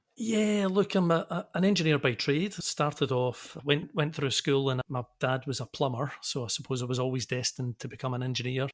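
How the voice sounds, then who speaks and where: In a Scottish accent, a man with a medium-pitched voice speaks at a moderate pace, the sound dry and close with no echo. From Scotland, Glasgow. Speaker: engineering consultancy director. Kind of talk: podcast interview. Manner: halting.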